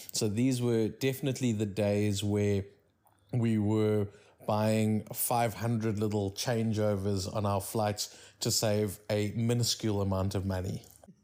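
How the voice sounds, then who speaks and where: With a South African accent, a man speaks at a fairly slow pace in a fairly low, dark, mellow voice, monotone and flat in intonation and very even in loudness, on a very clean recording with a silent background. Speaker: podcast host. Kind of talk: casual chat.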